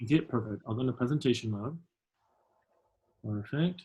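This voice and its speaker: A man speaks at a fairly quick pace with ordinary pitch variation. His voice is somewhat breathy. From Venezuela. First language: Spanish. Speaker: alumnus career speaker. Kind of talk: presentation. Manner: fast.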